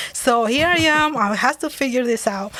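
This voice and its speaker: A woman speaks at a moderate pace with fairly high pitch and a Dominican accent. The recording is very clean, with a silent background. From Dominican Republic. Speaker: business owner, former engineer. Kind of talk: interview.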